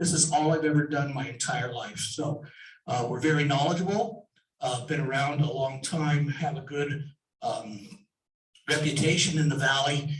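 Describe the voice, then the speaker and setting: A man speaks at a fairly high pitch and a moderate pace, somewhat breathy, with ordinary pitch variation. There is audible room echo. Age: 60s. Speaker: home inspector and contractor. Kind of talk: sponsor presentation.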